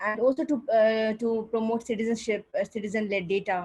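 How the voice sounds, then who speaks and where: A woman's somewhat breathy voice, fairly high in pitch and fairly quick, with fairly even intonation. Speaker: coordinator of a regional civil society platform. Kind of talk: opening remarks at online panel event. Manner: fast.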